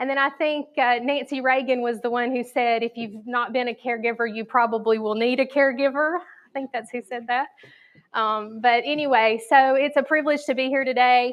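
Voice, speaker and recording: Her high-pitched voice carries fairly even intonation as this woman keeps a moderate pace. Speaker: caregiving consultant, guest speaker. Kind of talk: presentation to a church audience. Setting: live audience, two microphones.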